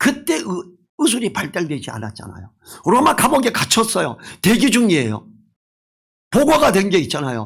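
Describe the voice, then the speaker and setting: A man with a high voice speaks at a moderate pace, his pitch swinging very widely amid long, frequent pauses. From rural South Korea. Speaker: pastor. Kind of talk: sermon. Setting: church.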